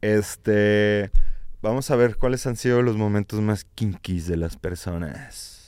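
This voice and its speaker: At a very slow pace, a man with a fairly low pitch talks with ordinary pitch variation in a very clean recording with a silent background. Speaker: podcast co-host. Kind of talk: casual chat.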